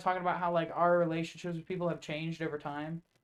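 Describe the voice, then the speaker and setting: A man speaks loudly at a high pitch and a very fast pace. His intonation is monotone and flat. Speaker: podcast host. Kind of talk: casual chat.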